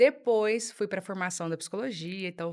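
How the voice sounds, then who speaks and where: Over a silent background in a very clean recording, a woman speaks with a strong mineiro accent. Her pitch is fairly low, her pace moderate, with ordinary pitch variation. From Minas Gerais, Brazil (Uberlândia, Triângulo Mineiro). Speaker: psychologist, emotional unblocking specialist. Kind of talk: podcast interview.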